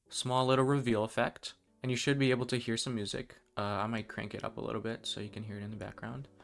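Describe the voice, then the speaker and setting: Over music in the background, a man talks at a fairly quick pace in a medium pitch with fairly even intonation. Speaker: web developer tutorial creator. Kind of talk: screen-recorded coding tutorial. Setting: poor audio quality recording. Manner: casual, friendly.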